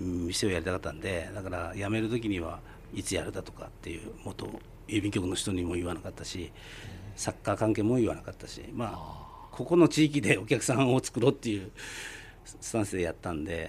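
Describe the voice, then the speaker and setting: A man with a normal speaking voice, fairly low pitch with ordinary variation, a fairly quick pace, and big swings in loudness. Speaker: yakitori restaurant owner. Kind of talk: radio interview.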